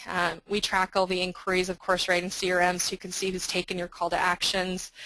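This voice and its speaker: A woman with a medium pitch speaks at a very fast pace. Her tone is bright and sharp, and her intonation is monotone and flat. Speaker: software marketing presenter. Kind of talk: webinar product demo.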